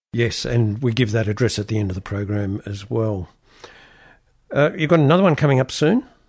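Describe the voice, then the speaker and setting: A somewhat breathy man at a fairly quick pace with lively intonation, in a very clean recording with a silent background. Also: medium pitch for a man. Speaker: radio host. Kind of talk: radio interview.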